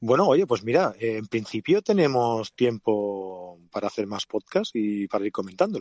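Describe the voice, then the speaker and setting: A man at a medium pitch with lively intonation, a fairly slow pace, hardly any pauses and a dry, close sound with no echo. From Catalonia, of Andalusian roots. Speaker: podcast co-host, photographer and event producer. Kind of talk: casual chat. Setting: in a car.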